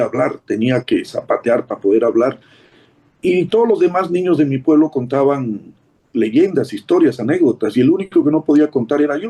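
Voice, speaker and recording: A man speaks at a moderate pace with a fairly high pitch. His tone is dark and mellow, and his intonation is lively. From Bolivia, Beni lowlands. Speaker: writer. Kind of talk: interview.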